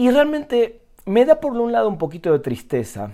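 A man's dark, mellow tone with very wide pitch swings, on a very clean recording with a silent background. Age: 40s. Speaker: podcaster. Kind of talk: solo monologue. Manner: halting, many repetitions and fillers.

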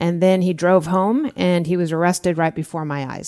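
An unremarkable speaking voice in an American accent, fairly even in intonation, in a very clean recording with a silent background. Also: woman. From Southern California, Orange County. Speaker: former FBI agent. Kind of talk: interview.

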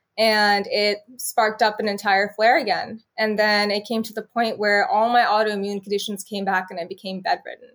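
A woman has a plain, everyday voice, pitched fairly high. She keeps a moderate pace and fairly even intonation, with hardly any pauses. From California, Bakersfield. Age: 20s. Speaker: healthcare worker and lupus patient. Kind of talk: interview.

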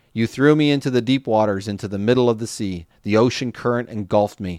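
This is a plain, everyday voice at a fairly quick pace with ordinary pitch variation, recorded very clean against a silent background with a dry, close sound and no echo. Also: man. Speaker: podcast host reading the Bible. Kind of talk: scripture reading aloud, steady and reverent. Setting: podcast recording. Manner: measured, clear, even-paced narration.

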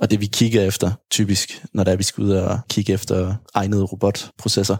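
At a moderate pace, a man with a fairly low pitch talks in a monotone, flat way, in a dry, close sound with no echo. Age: 30s. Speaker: hospital IT team leader. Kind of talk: interview.

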